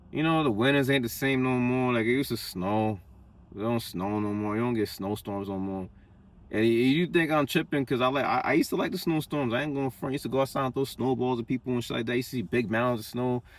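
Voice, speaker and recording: A man speaks very fast in a New York accent. His medium pitch shows ordinary variation. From Long Island, New York. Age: 20s. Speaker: vlogger. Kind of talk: casual monologue. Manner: animated.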